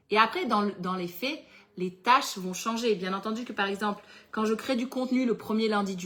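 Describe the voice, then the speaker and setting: A woman speaks at a moderate pace in a fairly high, bright and sharp voice. Her pitch varies in an ordinary way. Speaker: entrepreneur running a planner business and workshop host. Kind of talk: live webinar workshop with Q&A. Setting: livestream with chat.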